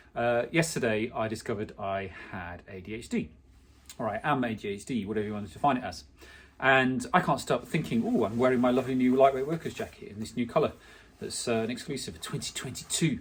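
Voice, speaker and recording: Very fast and lively in intonation, a man with an English accent and medium pitch sounds somewhat breathy on a very clean recording with a silent background. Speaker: clothing brand founder. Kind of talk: personal vlog monologue. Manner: halting, many fillers.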